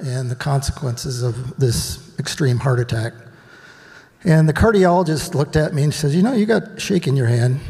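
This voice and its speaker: A man with a fairly high voice and lively intonation, noticeable background noise behind him. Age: old. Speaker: retreat participant sharing healing story. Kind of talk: testimony. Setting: stage with audience. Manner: shaky, emotional.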